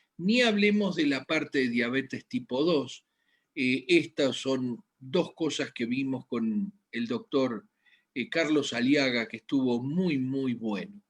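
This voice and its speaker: Dry and close with no echo, this clip features a man at a medium pitch. He talks at a very slow pace with lively intonation. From Argentina, Buenos Aires. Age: 60s. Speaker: medical doctor. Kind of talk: health lecture. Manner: halting, with frequent fillers.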